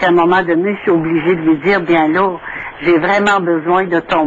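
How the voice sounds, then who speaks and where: Over noticeable background noise, a woman talks at a moderate pace with a fairly low pitch and a monotone, flat intonation. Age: 60s. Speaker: caller. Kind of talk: call-in testimony.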